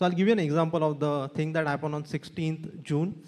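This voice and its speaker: A man with an Indian accent talks at a very fast pace and a high pitch. The background is quiet. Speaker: digital marketing agency co-founder, panelist; panelist. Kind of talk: panel discussion. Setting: stage with audience. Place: hall. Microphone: handheld.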